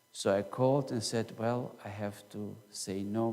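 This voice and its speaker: A man with a German accent and a fairly low pitch speaks with fairly even intonation, and the room echo is audible. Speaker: pastor. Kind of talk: sermon. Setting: church.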